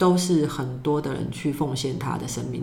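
A woman's very deep, low voice in a Taiwanese accent, fairly even in intonation, with audible room echo. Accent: Taiwanese Mandarin. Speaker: YouTuber and workshop leader. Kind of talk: casual interview.

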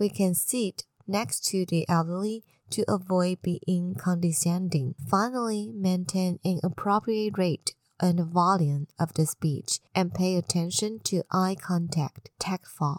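A medium-pitched woman's voice in a Chinese accent, very even in loudness, at a fairly slow pace, with a dry, close sound with no echo. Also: ordinary pitch variation. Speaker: podcast host sharing health news. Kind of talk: scripted news reading.

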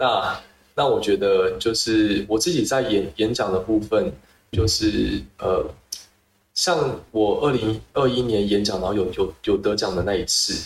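The voice is somewhat breathy and fairly slow, with lively intonation and very even loudness throughout. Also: man, fairly low pitch for a man. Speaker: public health researcher. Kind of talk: interview. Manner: halting, with repetitions.

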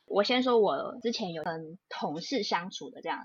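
Very wide pitch swings in a woman's somewhat breathy delivery. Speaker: lawyer and podcast co-host. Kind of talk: casual chat.

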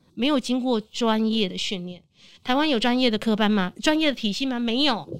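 A woman with a normal speaking voice talks at a moderate pace, her fairly high pitch showing ordinary variation, in a very clean recording with a silent background. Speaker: veteran voice actress. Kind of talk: casual chat.

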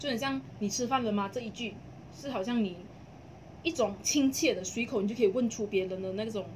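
The speech moves at a fairly quick pace with ordinary pitch variation and long, frequent pauses. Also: woman, fairly high pitch for a woman. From Malaysia, Kluang (Johor). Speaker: podcast co-host. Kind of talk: casual chat. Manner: animated, frequent laughter. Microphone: poor audio quality.

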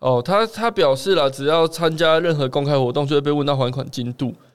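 A man speaks at a fairly quick pace in a fairly high voice with ordinary pitch variation. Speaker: podcast co-host. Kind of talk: casual chat.

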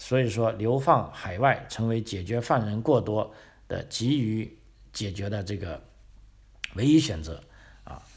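A man speaks at a fairly slow pace with long, frequent pauses, his voice somewhat breathy and his loudness swinging widely. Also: medium pitch for a man, ordinary pitch variation. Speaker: podcast host. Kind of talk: casual history talk. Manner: frequent filler particles.

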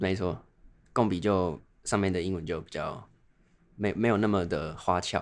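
Over a quiet background, a man with a very deep, low pitch speaks at a moderate pace with ordinary pitch variation and long, frequent pauses. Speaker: medical student and podcast co-host. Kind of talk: casual chat.

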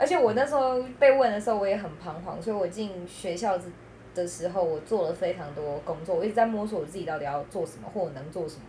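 The pace is very fast as this woman talks. Her pitch moves in very wide swings. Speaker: teacher. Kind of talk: casual chat.

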